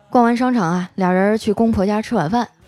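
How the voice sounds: A natural reading voice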